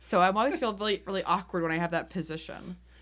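A woman speaks very fast at a fairly low pitch, with vocal fry and ordinary pitch variation. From New England. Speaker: board game podcast co-host. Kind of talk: casual chat. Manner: animated.

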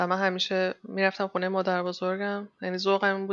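At a fairly quick pace, a woman of medium pitch speaks on a very clean recording with a silent background and a dry, close sound with no echo. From Iran, Chaharmahal and Bakhtiari province. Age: 30s. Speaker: 3D texture artist in animation. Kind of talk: casual interview. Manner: energetic.

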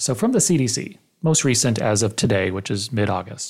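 A normal speaking voice from a man with an American accent, medium pitch, moderate pace and lively intonation, in a very clean recording with a silent background. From US Arizona. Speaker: podcast host. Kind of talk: interview.

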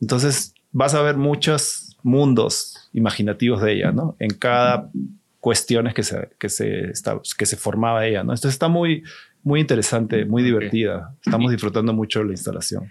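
At a moderate pace, a man in an ordinary speaking voice holds a medium pitch with ordinary pitch variation. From Peru, Lima. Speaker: exhibition designer. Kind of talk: casual interview.

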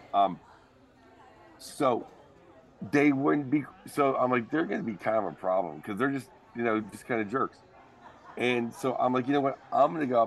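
A man speaks at a medium pitch and moderate pace with lively intonation and long, frequent pauses. Noticeable background noise is present. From Bismarck, North Dakota. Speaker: stand-up comedian. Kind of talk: casual storytelling interview.

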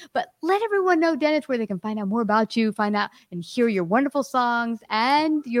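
A woman's normal speaking voice, fairly high in pitch, with lively intonation, a fairly quick pace and dry, close sound with no echo. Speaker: podcast host. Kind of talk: casual interview.

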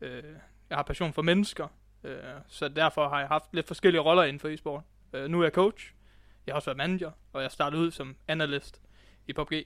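Over a silent background in a very clean recording, a man talks at a fairly quick pace with fairly even intonation. His pitch is fairly high, and he takes long, frequent pauses. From West Jutland, Denmark. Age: 20s. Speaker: esports coach. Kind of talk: casual interview. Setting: esports club, in person.

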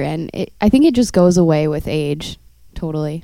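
In an American accent, a woman with a dark, mellow tone uses lively intonation, and the sound is dry and close with no echo. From San Francisco, US. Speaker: model. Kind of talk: casual chat.

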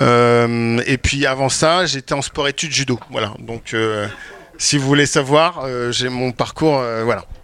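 A man speaking at a very slow pace with fairly even intonation. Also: medium pitch for a man. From France, Champagne-Ardenne. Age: 40s. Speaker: wedding filmmaker. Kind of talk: panel discussion. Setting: stage with audience.

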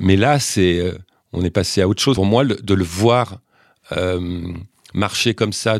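On a very clean recording with a silent background, a man speaks at a fairly slow pace. His pitch is very deep and low, his intonation fairly even. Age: 50s. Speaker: football journalist. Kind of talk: casual chat. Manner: halting.

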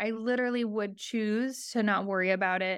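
A woman with an unremarkable speaking voice talks at a fairly high pitch. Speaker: program alum. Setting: video call.

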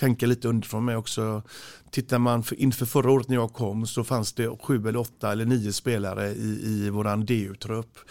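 In a very clean recording with a silent background, a man talks at a moderate pace with flat, monotone intonation. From Gothenburg, Sweden (Frölunda). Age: 40s. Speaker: handball coach. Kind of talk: interview. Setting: studio. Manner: halting.

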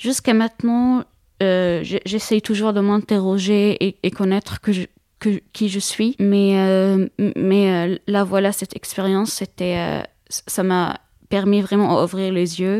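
Speaking very slowly in a dark, mellow tone with monotone, flat intonation, a woman with an Arabic accent comes through a dry, close sound with no echo on a very clean recording with a silent background. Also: medium pitch for a woman. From Syria. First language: Arabic (speaking French). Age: 20s. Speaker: student, former refugee. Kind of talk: interview testimony. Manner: halting, many hesitations and repetitions.

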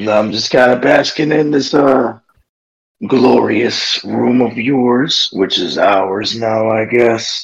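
Speaking very slowly, a man puts on a raspy character voice at a medium pitch. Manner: sardonic, relaxed.

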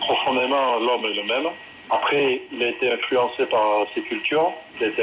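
A man's voice over noticeable background noise. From southwest France. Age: 40s. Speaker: rugby coach. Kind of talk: interview.

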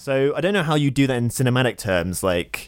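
In a very clean recording with a silent background, a man's words come at a fairly quick pace. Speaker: film podcast co-host. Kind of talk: casual chat. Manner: sarcastic, deadpan.

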